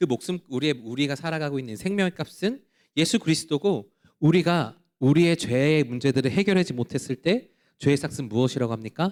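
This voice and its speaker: Lively intonation from a man with a fairly high voice at a fairly quick pace, on a very clean recording with a silent background. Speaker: pastor. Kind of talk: sermon. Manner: fast.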